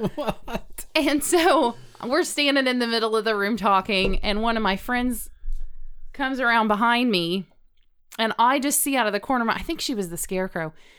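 She has a plain, everyday voice. The woman speaks at a fairly high pitch and a moderate pace. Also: lively intonation. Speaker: dietitian; guest. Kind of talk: casual chat.

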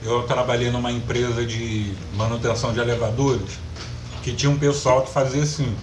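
There is noticeable background noise and audible room echo as a man speaks at a moderate pace with monotone, flat intonation. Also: medium pitch for a man. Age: 30s. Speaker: podcast co-host. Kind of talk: casual chat.

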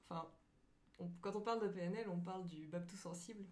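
Audible room echo surrounds a woman speaking at a fairly low pitch. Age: 30s. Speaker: graphic designer. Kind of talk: casual chat.

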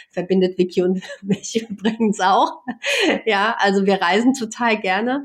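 In a plain, everyday voice, a woman speaks at a fairly slow pace and a medium pitch, with ordinary pitch variation and very even loudness. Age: 50s. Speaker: coach. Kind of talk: casual chat. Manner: frequent filler sounds.

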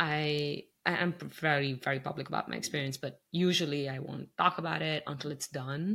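A woman talks at a moderate pace with hardly any pauses, her very deep, low pitch carrying vocal fry, a bright, sharp tone and fairly even intonation. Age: 30s. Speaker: podcast host and cancer survivor. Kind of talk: interview. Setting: remote call from home office.

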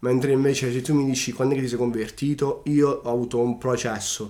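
His medium-pitched voice carries a dark, mellow tone as the man speaks in a monotone, flat intonation. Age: 20s. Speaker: barber. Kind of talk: testimony. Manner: halting.

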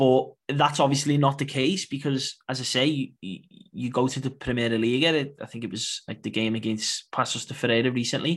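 An ordinary speaking voice comes at a moderate pace. It has ordinary pitch variation. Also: man, medium pitch for a man, hardly any pauses. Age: 20s. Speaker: Portuguese football expert and podcaster. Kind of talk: casual football discussion.

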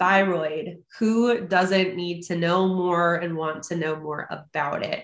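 Using a normal speaking voice, a woman talks at a fairly low pitch and a fairly slow pace with fairly even intonation. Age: 20s. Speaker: podcast host. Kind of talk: casual interview. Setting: video call.

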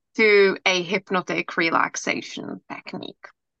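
With a Czech accent, a woman speaks at a very slow pace in a bright, sharp tone of medium pitch and ordinary pitch variation. The sound is dry and close with no echo. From Czech Republic. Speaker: hypnotherapist and coach. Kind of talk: casual interview.

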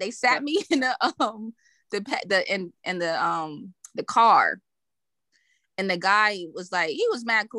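Speaking at a fairly slow pace with long, frequent pauses, a woman with a Brooklyn accent has a fairly high pitch, a bright, sharp tone and very wide pitch swings, on a very clean recording with a silent background. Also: dry, close sound with no echo. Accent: New York, Brooklyn-sounding. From Connecticut. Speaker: podcaster. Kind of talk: casual chat.

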